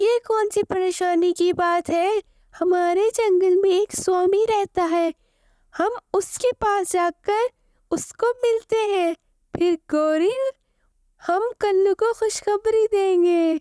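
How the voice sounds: A woman does a cartoonish character voice at extremely high pitch and a very slow pace, with fairly even intonation, very even loudness and a dry, close sound with no echo.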